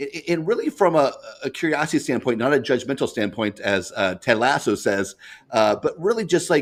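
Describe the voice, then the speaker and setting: Using very wide pitch swings, a man with an American accent and a fairly high pitch speaks at a fairly quick pace. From US Midwest. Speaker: business leader and entrepreneur. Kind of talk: interview. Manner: halting, many repetitions.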